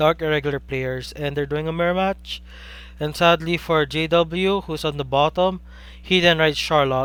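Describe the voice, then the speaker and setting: A man with a Filipino accent speaks at a moderate pace in a fairly high voice with a monotone, flat intonation. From Philippines. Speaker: game commentator. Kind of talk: live commentary. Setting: live stream.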